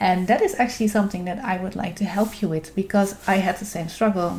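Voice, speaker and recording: With vocal fry, a woman speaks at a medium pitch with fairly even intonation. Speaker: art YouTuber, dragon illustrator. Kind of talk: vlog-style talk to camera. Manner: halting, many fillers.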